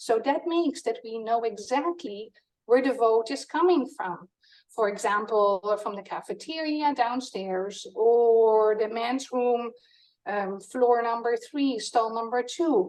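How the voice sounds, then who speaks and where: A woman speaks very slowly with a Dutch accent. Her pitch varies in an ordinary way. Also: fairly high pitch for a woman. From Netherlands. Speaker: product co-founder presenting. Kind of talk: product demo.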